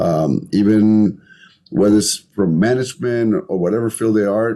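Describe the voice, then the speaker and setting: In a Colombian accent, a man with a fairly low pitch and a dark, mellow tone speaks at a fairly slow pace with lively intonation. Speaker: entrepreneur, podcast guest. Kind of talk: interview conversation.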